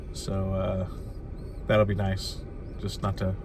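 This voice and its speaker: A man's fairly low, monotone voice with flat intonation, noticeable background noise and audible room echo. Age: 50s. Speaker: lifestyle vlogger. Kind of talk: casual vlog monologue. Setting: in a car at a rest stop. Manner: halting, many fillers.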